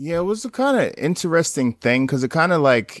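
A man with a plain, everyday voice talks fairly quickly with lively intonation against a quiet background. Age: 30s. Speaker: documentary photographer. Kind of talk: casual interview.

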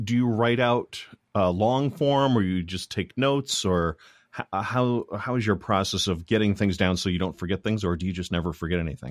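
On a very clean recording with a silent background, a man with an unremarkable speaking voice talks at a moderate pace and fairly low pitch with lively intonation, the sound dry and close with no echo. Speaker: podcast host. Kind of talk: casual interview. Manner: talkative, many fillers.

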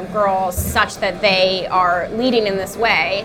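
A woman with an American accent, fairly even intonation and noticeable background noise. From New York City. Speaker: writer and editor. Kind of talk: casual chat over dinner. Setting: restaurant dinner table.

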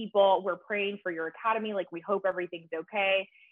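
With an American accent, the woman talks at a medium pitch. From Texas, Grand Prairie. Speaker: barber educator. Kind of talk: casual interview.

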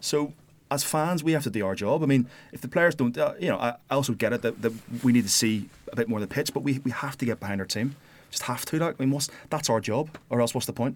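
This man talks at a very fast pace at medium pitch, with ordinary pitch variation. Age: 30s. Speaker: football fan pundit. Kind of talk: casual chat.

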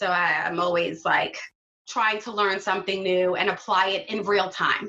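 A woman's medium-pitched voice with a New York accent, fairly even intonation, and a fairly slow pace. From Brooklyn, New York (Flatbush). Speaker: business owner and designer. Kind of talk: casual interview.

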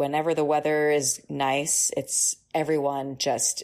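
A woman's very deep, low voice, flat and monotone, with an American accent. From US Northeast, Boston area (Newton, Massachusetts). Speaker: plastic surgery resident. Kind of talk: interview.

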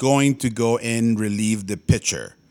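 Recorded very cleanly against a silent background, a man speaks at medium pitch. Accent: Spanish. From Tijuana, Mexico. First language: Spanish. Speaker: baseball podcast co-host. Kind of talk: casual chat.

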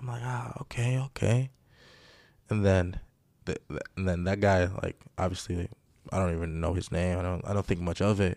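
Speaking with an American accent, a man has a very deep, low pitch and ordinary pitch variation at a moderate pace. He leaves long, frequent pauses on a very clean recording with a silent background. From Greece. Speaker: professional basketball player. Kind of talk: casual chat.

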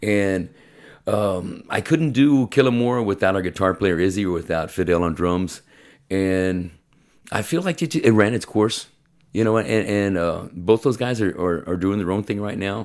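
An unremarkable speaking voice from a man, fairly low in pitch, with ordinary pitch variation, a moderate pace, and a very clean recording with a silent background. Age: 50s. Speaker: podcast host and metal musician. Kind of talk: casual interview chat.

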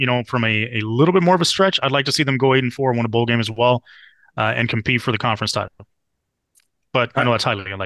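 A man with an American accent talks at a very fast pace with long, frequent pauses against a quiet background. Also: medium pitch for a man, ordinary pitch variation. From Miami, Florida. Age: 40s. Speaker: football analyst. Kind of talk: casual chat.

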